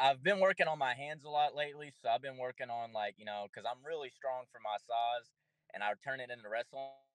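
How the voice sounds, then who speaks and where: Over music in the background, a man speaks at a medium pitch and a fairly quick pace with ordinary pitch variation. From Kentucky. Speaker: amateur MMA fighter. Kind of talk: interview.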